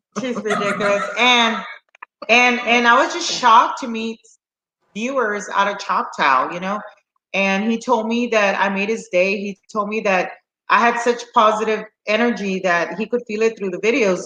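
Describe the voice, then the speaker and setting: The speech has ordinary pitch variation and a moderate pace. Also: woman, fairly high pitch for a woman. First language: Spanish. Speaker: slot channel host. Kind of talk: casual chat. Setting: live stream. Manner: animated.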